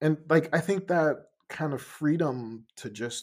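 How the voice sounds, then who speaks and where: Here is a man with an American accent. His pitch variation is ordinary. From Ghana and Denmark. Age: 20s. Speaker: musician. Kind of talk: casual interview conversation. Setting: video call.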